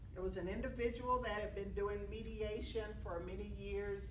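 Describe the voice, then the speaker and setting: A woman talks at a moderate pace with hardly any pauses. Audible room echo and noticeable background noise are present. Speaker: mediation professor and speaker. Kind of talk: talk to an audience. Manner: loud. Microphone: no microphone.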